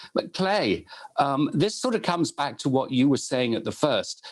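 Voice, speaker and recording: A British accent at a moderate pace. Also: man. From United Kingdom. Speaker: moderator. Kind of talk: panel discussion. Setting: webinar.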